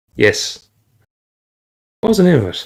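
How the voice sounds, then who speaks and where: His pitch swings very widely. A man talks with vocal fry. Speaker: podcast co-host. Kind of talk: casual chat. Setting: live stream podcast.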